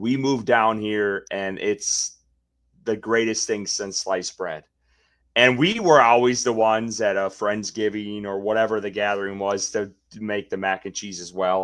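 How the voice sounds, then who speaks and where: A fairly low-pitched man with a Wisconsin accent, moderate pace, fairly even intonation and big swings in loudness, on a very clean recording with a silent background. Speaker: sports podcast co-host. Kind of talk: casual chat.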